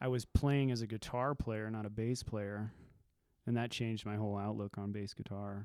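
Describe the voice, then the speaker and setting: A man with an American accent speaks at a moderate pace. His voice is fairly low in pitch, and his intonation is monotone and flat. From Nevada, US. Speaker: punk musician. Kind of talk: casual chat.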